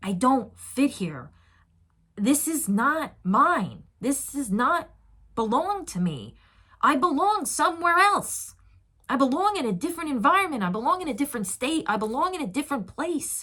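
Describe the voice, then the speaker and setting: A woman's raised, projected, high voice, animated and bright with a sharp tone, swinging very widely in pitch at a moderate pace. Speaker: tarot card reader. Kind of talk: tarot reading.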